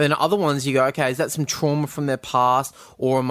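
Fairly even in intonation, a man with an Australian accent speaks very fast at a medium pitch. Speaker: film podcast host. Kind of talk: casual chat. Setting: video call.

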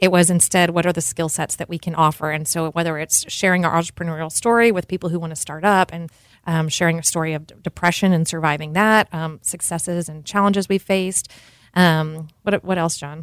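A woman with an American accent, an unremarkable speaking voice, a fairly low pitch and a fairly quick pace. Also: dry, close sound with no echo. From North Texas. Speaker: cheese shop owner. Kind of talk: casual interview. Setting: studio.

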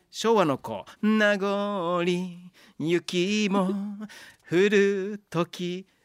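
A high-pitched male voice in a Kansai accent, very slow and monotone with flat intonation, in a very clean recording with a silent background. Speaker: radio host. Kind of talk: casual chat.

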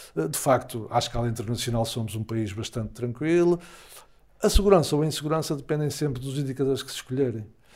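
At a medium pitch, a man talks very fast with lively intonation. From Portugal, Porto area (Gaia). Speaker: psychologist and academic. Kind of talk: interview.

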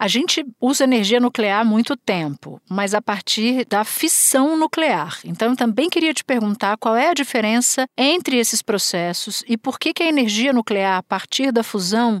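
A woman talks with an ordinary speaking voice at a fairly high pitch, with lively intonation and hardly any pauses. The sound is dry and close, with no echo. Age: 40s. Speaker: podcast host, journalist. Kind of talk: interview.

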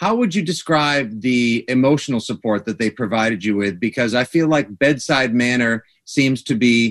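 With an American accent, a man speaks in an unremarkable speaking voice at a medium pitch, ordinary pitch variation and a moderate pace, the sound dry and close with no echo. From Massachusetts. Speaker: sports radio host. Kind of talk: radio interview. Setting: studio.

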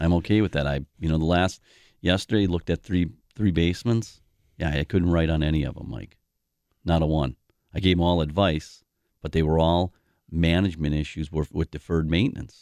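Speaking with a Wisconsin accent, a man with a very deep, low pitch moves at a fairly quick pace with ordinary pitch variation and long, frequent pauses. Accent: Upper Midwest (Wisconsin). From Milwaukee, Wisconsin (South Side). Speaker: basement repair company owner. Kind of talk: radio talk show interview.

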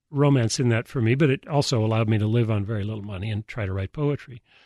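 Very fast male speech at a medium pitch, ordinary pitch variation, over a quiet background. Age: 70s. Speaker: poet and university professor. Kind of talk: interview. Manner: halting.

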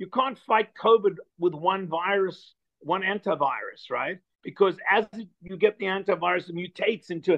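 Speaking with ordinary pitch variation, a man has a high-pitched voice. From South Africa. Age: 70s. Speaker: filmmaker. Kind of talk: casual interview. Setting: video call. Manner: animated.

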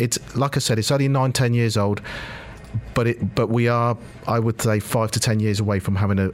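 A man with a British accent at a medium pitch and fairly quick pace, fairly even in intonation, over noticeable background noise. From Britain. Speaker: football club executive. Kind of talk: radio interview. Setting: studio.

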